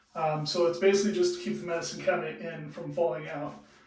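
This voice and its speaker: A man speaks with a high pitch and a relaxed tone. His intonation is fairly even, and the room echo is audible. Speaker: DIY home improvement vlogger. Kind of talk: tutorial. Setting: in a bathroom at home. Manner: casual, relaxed.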